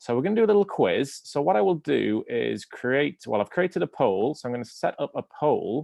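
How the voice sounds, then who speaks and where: Speaking fairly quickly with hardly any pauses, a man with an English accent and a fairly high pitch makes very wide pitch swings. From England. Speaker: university admissions representative. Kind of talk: webinar presentation.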